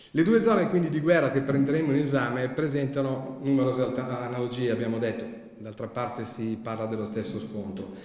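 Through audible room echo, a man at a medium pitch talks at a fairly quick pace with ordinary pitch variation. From Milan, Italy. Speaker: historian and author. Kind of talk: lecture with slides. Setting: library hall with audience. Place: hall. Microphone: podium.

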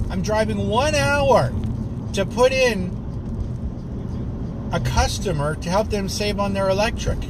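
Noticeable background noise sits behind a man speaking at a fairly slow pace, the sound dry with no echo. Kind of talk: casual vlog chat. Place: car. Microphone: phone near.

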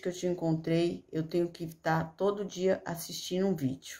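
A dark, mellow tone over a quiet background. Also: woman. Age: 50s. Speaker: course student giving testimonial. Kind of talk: testimony. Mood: grateful, earnest. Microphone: phone near.

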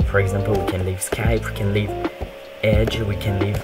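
The speaker has a French accent. Loud music plays in the background. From France. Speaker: gaming tech tutorial creator. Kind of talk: screen-recorded tech tutorial.

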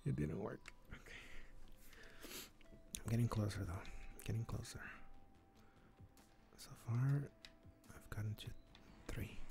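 A man whispers at a very slow pace, pausing long and often. Music plays in the background. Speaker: gaming streamer. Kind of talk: casual gaming commentary.

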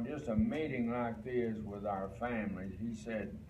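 A man's voice with ordinary pitch variation amid loud background noise. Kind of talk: sermon. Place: home room. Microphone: camera far.

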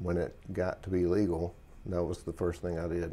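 A man's very deep, low pitch in a dark, mellow tone. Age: 30s. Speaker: military veteran, patient. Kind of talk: testimony. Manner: halting, with many fillers. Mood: calm, reflective, slightly subdued.

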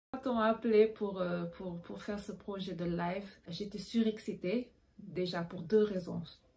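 A woman's medium-pitched, somewhat breathy voice with a dark, mellow tone, fairly even intonation, a fairly slow pace and big swings in loudness. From Senegal. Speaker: bassist; panelist. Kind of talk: panel discussion. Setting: video call. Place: home room.

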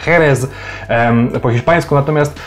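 A man speaks with ordinary pitch variation. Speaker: wine vlogger. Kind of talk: casual explainer vlog. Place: home room. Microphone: phone near.

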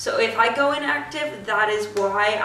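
In a room with audible echo, a woman speaks at a fairly slow pace with ordinary pitch variation. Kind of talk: casual vlog chat. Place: garage. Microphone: camera far.

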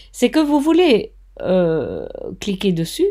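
Her tone is dark and mellow, and her pitch swings very widely. The recording is very clean, with a silent background. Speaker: craft tutor, online course teacher. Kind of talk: tutorial. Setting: screen recording, home. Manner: friendly, informal.

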